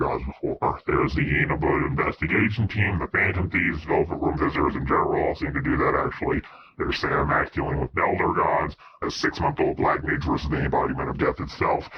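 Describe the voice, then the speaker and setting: A man speaks at a very fast pace in a put-on character voice. His pitch sits fairly low. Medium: machinima. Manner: dramatic, deliberate.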